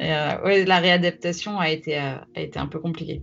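Noticeable noise sits behind the speech. Pitch moves up and down in an ordinary way. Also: woman. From France, Champagne (Troyes). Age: 40s. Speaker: deep-sea diver. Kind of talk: interview storytelling. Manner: halting, many hesitations.

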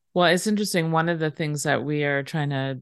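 Someone speaks with an American accent against a quiet background. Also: woman. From Seattle, Washington. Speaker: podcast host interviewer. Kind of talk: interview.

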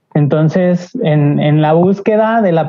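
This woman has a plain, everyday voice, pitched fairly low, with ordinary pitch variation. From Mexico, Aguascalientes. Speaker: graphic designer. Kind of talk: casual chat.

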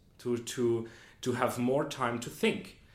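Medium-pitched male speech, audible room echo around it. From Austria, Vienna. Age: 20s. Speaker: management consultant. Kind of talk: casual interview. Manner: hesitant, many fillers.

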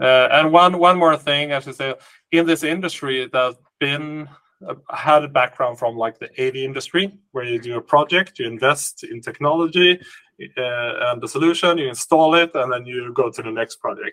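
A man's fairly high voice in a Swedish accent, with ordinary pitch variation, big swings in loudness and a moderate pace. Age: 40s. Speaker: company CEO. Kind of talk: interview.

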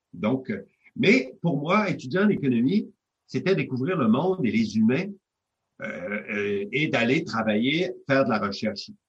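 The man's speech is fairly slow and somewhat breathy, with very wide pitch swings. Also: medium pitch for a man. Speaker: economics professor. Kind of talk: interview. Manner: halting.

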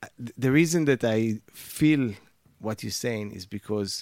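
At a fairly slow pace, a man with an unremarkable speaking voice and medium pitch uses lively intonation, heard in a dry, close sound with no echo. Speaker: radio host. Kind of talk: interview chat. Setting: studio.

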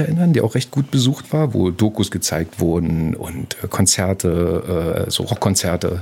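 A man's voice with very wide pitch swings. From East Berlin. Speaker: podcast producer. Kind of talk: interview storytelling.

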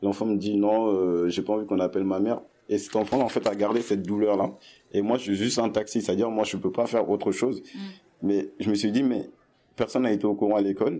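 Fairly low and dark, mellow in tone, a man's voice races at a very fast pace with fairly even intonation. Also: very even loudness. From Paris region (Essonne). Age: 20s. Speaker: young worker, resident of a youth hostel. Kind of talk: interview testimony. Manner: hesitant, many fillers.

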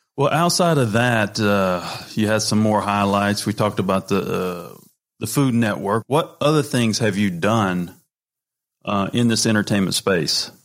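A man uses a plain, everyday voice, fairly low in pitch, with lively intonation and very even loudness at a fairly slow pace. The recording is very clean, with a silent background. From North Carolina, US South. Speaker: podcast host, former college baseball player. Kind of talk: casual chat interview.

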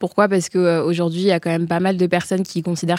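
Over a very clean recording with a silent background, a woman with a fairly low pitch and a dark, mellow tone speaks in a monotone, flat intonation, the sound dry and close with no echo. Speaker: communication student. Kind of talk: interview.

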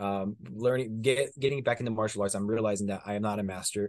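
Speaking at a moderate pace, a man has a plain, everyday voice at medium pitch with fairly even intonation. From US, Mexican-American community. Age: 20s. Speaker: stunt performer and martial artist. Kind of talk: casual interview chat.

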